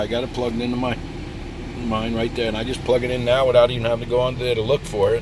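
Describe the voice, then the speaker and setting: A man's medium-pitched voice amid noticeable background noise. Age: 60s. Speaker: product reviewer, nomad vlogger. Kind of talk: product review tutorial. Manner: casual, thinking aloud.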